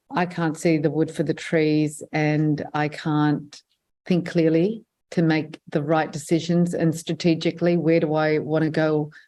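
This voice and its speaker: With an Australian accent, a woman with a very deep, low pitch and a dark, mellow tone speaks at a fairly slow pace in a monotone, flat way, with very even loudness against a quiet background. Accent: non-Lebanese English accent, Australian. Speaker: filmmaker and journalist. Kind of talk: interview. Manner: hesitant, many fillers.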